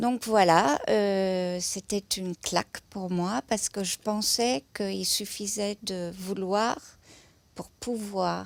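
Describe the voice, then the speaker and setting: Very slow speech from a woman in a German accent, medium in pitch, with a dry, close sound and no echo. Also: ordinary pitch variation. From southern Germany, near Stuttgart. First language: German (speaking French). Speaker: museum lecturer. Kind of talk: interview testimony. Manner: hesitant, many filler sounds.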